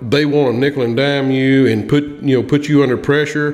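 Audible room echo surrounds a man's slightly mellow voice at a medium pitch. He talks at a moderate pace with ordinary pitch variation.

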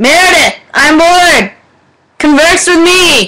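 Shouting in a put-on character voice at an extremely high pitch, the speaker goes at a fairly slow pace. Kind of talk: affectedly formal. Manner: yelling, demanding. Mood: bored, playful.

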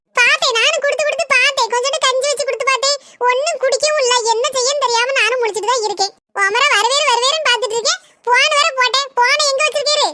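A woman in a cartoonish character voice speaks at a fairly quick pace with extremely high pitch and very even loudness. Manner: sarcastic, quick retorts.

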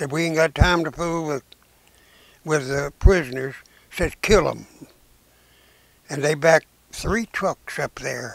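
With a Southern US accent, a man talks at a fairly slow pace with long, frequent pauses, in a dry sound with no echo. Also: ordinary pitch variation. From Arkansas. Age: 80s+. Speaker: WWII veteran. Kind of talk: interview answer. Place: home room. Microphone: lapel.

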